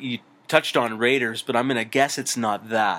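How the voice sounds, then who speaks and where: At a fairly quick pace, a man talks at medium pitch in a plain, everyday voice. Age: 30s. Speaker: podcast co-host. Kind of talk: casual chat.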